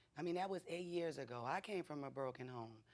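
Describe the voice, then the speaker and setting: With a New Orleans accent, a woman speaks in a very deep, low pitch with ordinary pitch variation. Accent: New Orleans Southern US. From New Orleans, US. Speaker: litigant mother in court show. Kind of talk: courtroom testimony. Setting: TV courtroom.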